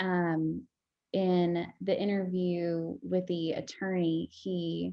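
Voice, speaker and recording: The intonation here is fairly even. It is an unremarkable speaking voice. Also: woman. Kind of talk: interview.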